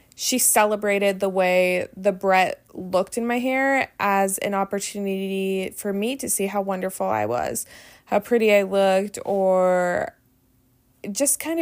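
With a plain, everyday voice, a woman talks at a fairly slow pace, at medium pitch with ordinary pitch variation. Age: 30s. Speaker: podcast host and sobriety coach. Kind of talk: recounted speech with casual podcast talk.

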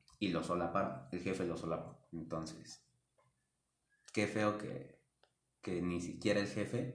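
There is audible room echo as a man talks very slowly, with long, frequent pauses. His very deep, low voice shows vocal fry and ordinary pitch variation. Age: 20s. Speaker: retail store employee. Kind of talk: casual chat.

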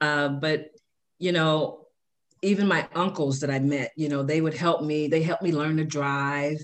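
A woman speaks with an American accent in a very deep, low voice. Her intonation is flat and monotone, and her pace is fairly slow. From South Side of Chicago. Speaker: podcast host's mother, former corporate manager. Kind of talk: casual chat. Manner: frequent fillers, relaxed.

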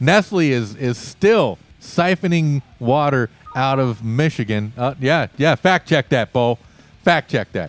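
An unremarkable speaking voice moves at a fairly slow pace with lively intonation, in a dry, close sound with no echo. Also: man, medium pitch for a man. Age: 50s. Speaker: radio show host. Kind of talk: casual chat.

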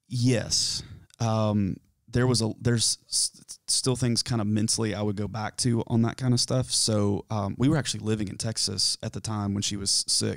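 On a very clean recording with a silent background and a dry, close sound with no echo, a man with a Southern US accent and a fairly low pitch speaks at a moderate pace with fairly even intonation. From US South, South Carolina foothills. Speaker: mock therapy client. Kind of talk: role-played therapy intake. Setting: studio, on camera. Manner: halting.

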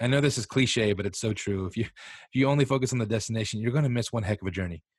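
In an American accent, a man uses an ordinary speaking voice at medium pitch with ordinary pitch variation, on a very clean recording with a silent background. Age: 30s. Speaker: behavior analyst and food podcaster. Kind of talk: casual interview chat.

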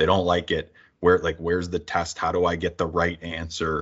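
A man talks at a moderate pace with a Canadian accent. His pitch is very deep and low. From Niagara Falls, Ontario, Canada. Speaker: work-integrated learning program director and podcast host. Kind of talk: interview.

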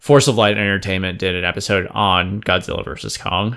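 In a normal speaking voice, a man talks fairly low and at a fairly quick pace, with ordinary pitch variation. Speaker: podcast co-host. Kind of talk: casual chat.

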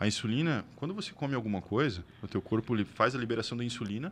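A man at medium pitch, very fast pace and lively intonation. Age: 40s. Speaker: bodybuilding athlete. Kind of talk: casual chat.

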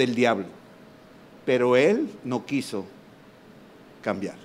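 A medium-pitched man's voice at a very slow pace. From Mexico. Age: 60s. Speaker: preacher. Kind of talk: sermon. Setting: stage with audience. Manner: animated.

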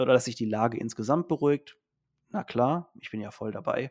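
This is a man with an unremarkable speaking voice, talking at a moderate pace with ordinary pitch variation. The recording is very clean, with a silent background. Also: dry, close sound with no echo. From Mannheim, Germany. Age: 30s. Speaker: teacher and supplement entrepreneur. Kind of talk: podcast interview.

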